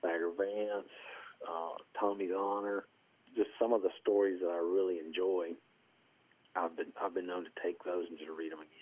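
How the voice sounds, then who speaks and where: Very deep and low, a man's voice with an Appalachian accent stays monotone and flat, with long, frequent pauses and big swings in loudness. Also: moderate pace. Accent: Southern Appalachian US. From US South, rural southwest Virginia (Appalachia). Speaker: golf course superintendent and columnist. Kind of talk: casual interview.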